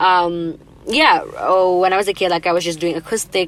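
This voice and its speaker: With an Indonesian accent, a woman talks at a moderate pace. Her pitch is fairly low and her intonation fairly even. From Indonesia, Jakarta. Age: 20s. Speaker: singer. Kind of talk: casual interview chat. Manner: casual, filler-heavy.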